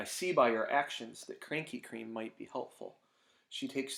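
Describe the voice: Lively intonation in a plain read-aloud delivery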